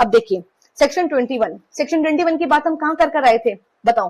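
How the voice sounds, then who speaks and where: Her pitch varies in an ordinary way. The woman's voice sits high. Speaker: law exam tutor. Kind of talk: lecture. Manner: fast.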